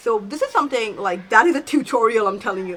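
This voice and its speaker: The voice has an animated tone, heard over noticeable background noise. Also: woman. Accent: non-native. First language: not English. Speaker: self-help YouTuber. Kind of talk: tutorial.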